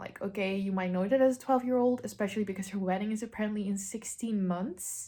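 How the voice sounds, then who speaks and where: A woman speaks with a non-native accent. Her voice sounds somewhat breathy. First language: not English. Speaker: book vlogger. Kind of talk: casual vlog.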